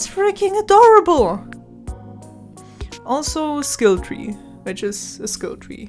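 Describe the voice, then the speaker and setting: Over music in the background, a woman speaks with a high pitch. Her pace is fairly slow and her pitch swings very widely. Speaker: gaming video creator. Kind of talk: game review narration. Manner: shaky.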